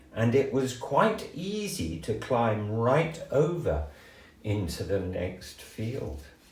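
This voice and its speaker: A man talks at a very slow pace in a gentle, warm tone and medium pitch, with very wide pitch swings. Noticeable background noise sits behind him. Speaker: grandfather storyteller. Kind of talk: children's story reading.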